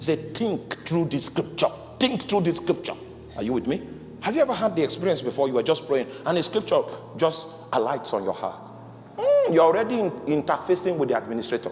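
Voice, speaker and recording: A man's high-pitched voice at a fairly quick pace, with very wide pitch swings and noticeable background noise. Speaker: pastor. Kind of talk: sermon.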